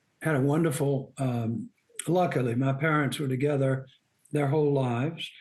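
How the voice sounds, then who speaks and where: Speaking with a Southern US accent, a man with a fairly high pitch keeps a moderate pace, very even loudness and fairly even intonation. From US South, Birmingham, Alabama. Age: 80s+. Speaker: outdoor writer. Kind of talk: interview.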